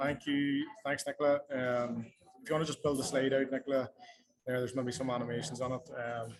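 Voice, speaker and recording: A man talks with a Northern Irish accent at a medium pitch. His intonation is flat and monotone, and his pace is fairly quick. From Northern Ireland. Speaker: company employee presenting. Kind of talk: presentation. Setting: video call from a cafe.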